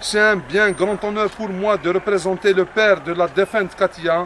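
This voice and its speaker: A man with an Algerian accent speaks in a high pitch at a moderate pace. His intonation is fairly even, with noticeable background noise. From Algeria, Kabylie. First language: Kabyle (speaking French). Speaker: mayor. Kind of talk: formal speech at a ceremony. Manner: formal.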